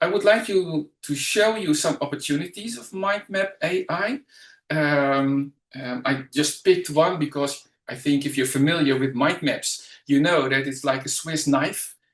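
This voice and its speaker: With a Dutch accent and ordinary pitch variation, the speech moves at a fairly slow pace. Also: man, fairly high pitch for a man. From Netherlands. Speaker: educational trainer and mind map coach. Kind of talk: webinar presentation. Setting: online webinar. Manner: halting, many fillers.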